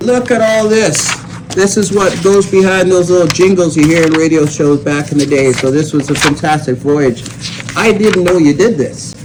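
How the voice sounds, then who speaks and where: High-pitched man with very even loudness and ordinary pitch variation, noticeable background noise. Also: moderate pace. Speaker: DJ, radio host. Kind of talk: casual interview conversation.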